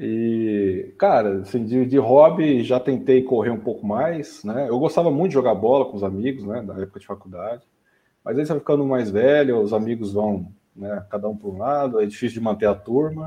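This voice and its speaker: A man talks at a moderate pace in an ordinary speaking voice, with medium pitch and ordinary pitch variation. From Brazil, São Paulo state (São Bernardo do Campo). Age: 30s. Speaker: AI specialist, medical physicist. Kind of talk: casual interview chat.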